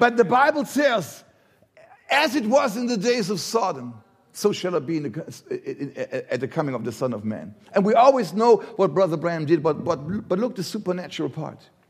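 A man with a German accent speaks at a high pitch, his voice making very wide pitch swings. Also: moderate pace. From Germany. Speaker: visiting preacher. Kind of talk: sermon. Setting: church. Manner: halting.

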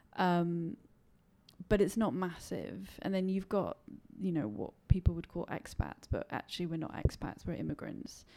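Speaking at a moderate pace, a woman with a fairly low pitch has a dark, mellow tone and lively intonation. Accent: London. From England, London. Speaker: British expat. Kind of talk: casual interview. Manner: halting.

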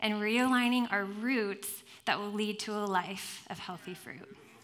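A woman speaks in a bright, sharp tone at a fairly high pitch, with ordinary pitch variation and audible room echo. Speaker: guest preacher. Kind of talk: sermon. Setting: church with congregation and headset mic.

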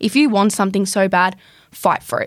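A woman with an Australian accent on a very clean recording with a silent background. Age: young. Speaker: carpenter and builder. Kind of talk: casual interview.

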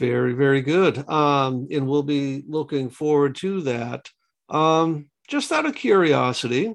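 Against a quiet background, a man with an unremarkable speaking voice, fairly high in pitch, talks with lively intonation in an American accent. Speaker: podcast interviewer. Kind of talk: interview.

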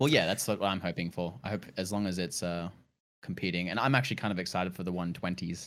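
Very deep and low, a man's voice with an Australian accent races at a very fast pace with ordinary pitch variation. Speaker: game streamer guest. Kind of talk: casual podcast chat.

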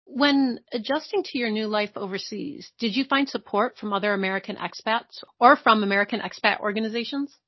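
An ordinary speaking voice from a woman, fairly high in pitch, at a fairly quick pace with hardly any pauses and ordinary pitch variation. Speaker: podcast host. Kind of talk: interview.

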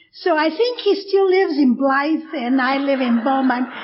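Noticeable background noise sits behind a woman speaking in an American accent. Her pitch is high, varies in an ordinary way, and her pace is moderate. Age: 70s. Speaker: AA speaker. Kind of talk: recovery testimony.

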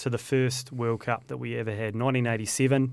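A man with a New Zealand accent talks very fast at a medium pitch. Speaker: podcast host. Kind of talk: interview; scripted intro. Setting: studio.

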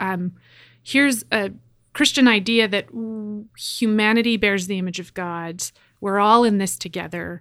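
Recorded very cleanly with a silent background, a woman with a Canadian accent has an unremarkable speaking voice, medium in pitch, moderate in pace and ordinary in pitch variation. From Canada, Edmonton, Alberta. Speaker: pastor. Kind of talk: interview conversation.

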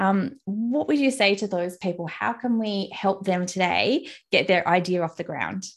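Hardly pausing at all, a woman with an Australian accent talks in a medium pitch with ordinary pitch variation. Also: moderate pace. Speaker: podcast host, content strategist. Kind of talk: casual interview chat. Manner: friendly and smiley.

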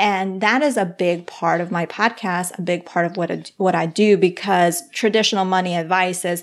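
In a Spanish accent, a woman talks at a medium pitch. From Colombia. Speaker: financial counselor and podcaster. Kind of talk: casual interview chat.

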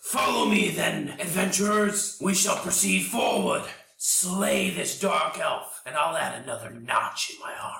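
Using a put-on character voice, a man speaks at a moderate pace with a slight echo. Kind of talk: villainous fantasy voice. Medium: actual play. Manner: proud, archaic and commanding.

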